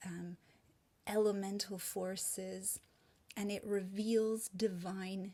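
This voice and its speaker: Speaking very slowly with long, frequent pauses, a woman uses a medium pitch and a dark, mellow, somewhat breathy tone in a monotone, flat intonation. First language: Hungarian. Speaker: presenter on language and spirituality. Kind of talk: presentation.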